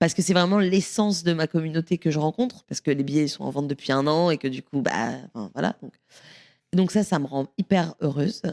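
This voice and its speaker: A woman's very deep, low voice at a fairly quick pace, dry and close with no echo. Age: 30s. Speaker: stand-up comedian. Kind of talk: casual chat.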